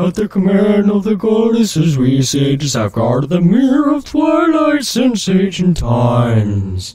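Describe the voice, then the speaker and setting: A put-on character voice sits at a middle pitch with very wide pitch swings. The pace is fairly slow, with hardly any pauses. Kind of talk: comic overacting. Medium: game stream. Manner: grave, solemn.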